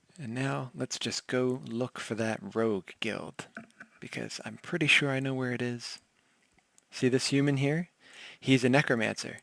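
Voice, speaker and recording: At a moderate pace, the speaker talks in a soft-spoken way. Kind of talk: soft-spoken ASMR game tour narration.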